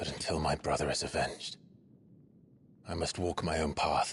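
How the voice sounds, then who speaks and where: A man puts on a character voice pitched very deep and low. He keeps a moderate pace and very even loudness. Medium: video game. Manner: grave, terse.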